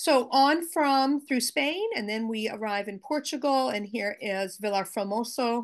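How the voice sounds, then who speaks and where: With an American accent, a woman speaks at a moderate pace and a fairly high pitch in an ordinary speaking voice, with hardly any pauses and a quiet background. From US, Maine. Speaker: Holocaust educator, teacher. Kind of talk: slide presentation. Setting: video call. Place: home room. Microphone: video call.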